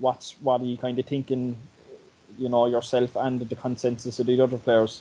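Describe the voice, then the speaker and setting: A man with a Cork accent speaks in a dark, mellow tone, his intonation flat and monotone. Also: medium pitch for a man, moderate pace. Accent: Cork Irish. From Ireland. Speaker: podcast host. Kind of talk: casual interview. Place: home room. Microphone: video call.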